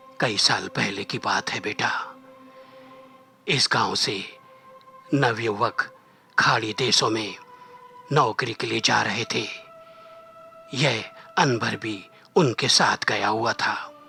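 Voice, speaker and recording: A man's put-on character voice, medium in pitch, at a fairly slow pace over faint background music. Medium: read story.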